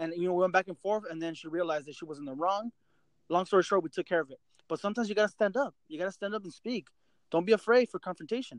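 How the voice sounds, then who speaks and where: Here a man talks very fast in a high voice, with ordinary pitch variation. The sound is dry and close, with no echo. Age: 30s. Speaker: podcast host. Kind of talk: casual chat.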